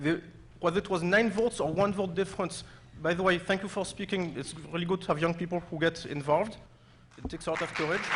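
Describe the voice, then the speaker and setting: At a very fast pace, a man with a non-native accent speaks at a high pitch with fairly even intonation. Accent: foreign. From another country. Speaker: resident speaking at public comment. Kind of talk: public comment at town meeting. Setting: high school auditorium, public meeting.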